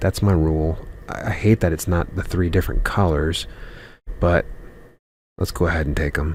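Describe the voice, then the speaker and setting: A man speaks quietly at a moderate pace, in a very deep, low pitch. His pauses are long and frequent. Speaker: gaming youtuber. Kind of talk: gameplay commentary. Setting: at home. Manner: quiet, kept down.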